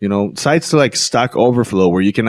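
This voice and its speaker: With a Latin American accent, a man speaks at a moderate pace in an animated tone with ordinary pitch variation. The sound is dry and close, with no echo. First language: Spanish. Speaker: podcast host and entrepreneur. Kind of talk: motivational monologue to camera.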